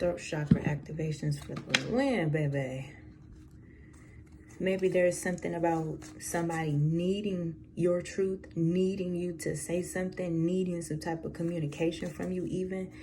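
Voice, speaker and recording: Over audible room echo, a woman speaks at a moderate pace in a fairly low pitch with fairly even intonation. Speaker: tarot reader. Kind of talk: tarot reading. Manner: casual, conversational with fillers.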